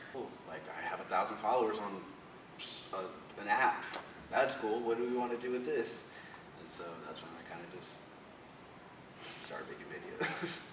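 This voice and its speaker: A man with an American accent at a moderate pace, with long, frequent pauses, big swings in loudness, audible room echo and noticeable background noise. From Florida. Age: 20s. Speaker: social media comedian. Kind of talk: interview. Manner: casual, filler-heavy.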